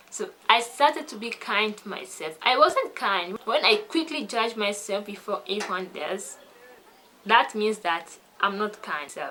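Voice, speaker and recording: Amid noticeable background noise, a woman with a French accent talks at a fairly slow pace, fairly high in pitch, with lively intonation. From French-speaking country. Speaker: English learning vlogger. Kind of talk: casual vlog talk.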